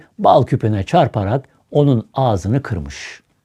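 The speaker uses an unforced reading voice. Nothing about it sounds pushed.

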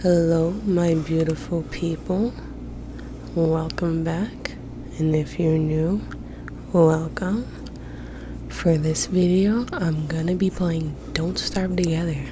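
A woman speaks at a very slow pace with long, frequent pauses, a fairly low pitch and fairly even intonation. The sound is dry with no echo, and background noise is noticeable. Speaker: ASMR gaming creator. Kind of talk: ASMR gaming commentary. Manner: whispered. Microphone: studio mic.

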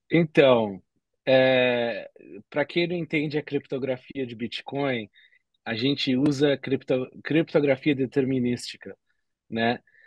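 A man talks at a very slow pace with long, frequent pauses and fairly even intonation, his voice dry with no echo over a quiet background. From Brazil. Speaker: entrepreneur and podcaster; podcaster. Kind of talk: podcast interview. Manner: halting, many repetitions. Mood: cheerful, smiling. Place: home room. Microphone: video call.

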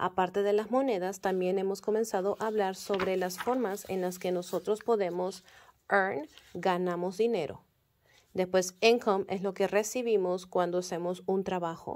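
A woman with a plain, everyday voice at a medium pitch, moderate pace and fairly even intonation, against a quiet background. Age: 30s. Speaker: kindergarten teacher. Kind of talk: class update for parents. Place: classroom. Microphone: phone near.

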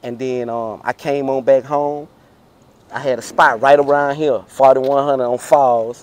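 In a dry sound with no echo, a man talks at a fairly slow pace with monotone, flat intonation. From Houston, Texas (Fifth Ward). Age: 40s. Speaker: car culture veteran, former street figure. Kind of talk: casual interview. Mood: relaxed, storytelling. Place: street.

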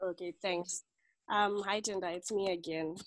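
A woman of medium pitch at a fairly slow pace, dry sound with no echo. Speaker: club member. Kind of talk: online club meeting. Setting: video call. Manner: faint. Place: home room. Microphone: video call.

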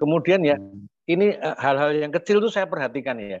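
The man's voice has a dry sound with no echo. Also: quiet background. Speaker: community organizer and presenter; guest. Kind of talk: opening and closing remarks in a webinar. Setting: video call. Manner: hesitant, many fillers. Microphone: video call.

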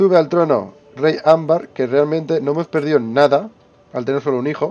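A man speaks in a fairly high voice with a dark, mellow tone. His pitch varies in an ordinary way and his pace is moderate. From Spain. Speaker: gaming youtuber. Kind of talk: let's play commentary. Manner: casual, thinking aloud.

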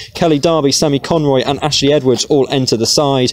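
A man talks at a moderate pace in a normal speaking voice. His pitch sits fairly high and varies in an ordinary way. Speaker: match commentator. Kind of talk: live sports commentary. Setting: stadium match commentary.

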